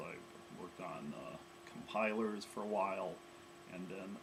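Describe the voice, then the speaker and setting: A man's fairly low-pitched voice amid noticeable background noise and audible room echo. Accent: American. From US Midwest, Chicago area. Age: 50s. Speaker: coding bootcamp student. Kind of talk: self-introduction. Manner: hesitant with frequent fillers.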